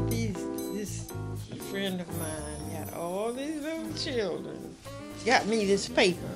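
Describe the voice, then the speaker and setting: A woman talks at a very slow pace with clear music behind her. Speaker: poet. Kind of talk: casual talk. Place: home room. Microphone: phone near.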